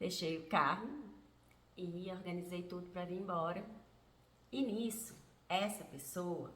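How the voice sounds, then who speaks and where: Ordinary pitch variation marks this woman's fairly low voice, with audible room echo around it. She speaks at a fairly slow pace with long, frequent pauses. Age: 50s. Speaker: vlogger. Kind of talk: personal testimony vlog.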